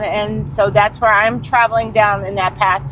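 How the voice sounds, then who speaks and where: Her pitch swings very widely as the woman talks. Noticeable background noise can be heard throughout. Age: 50s. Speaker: channel co-host. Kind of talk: casual chat.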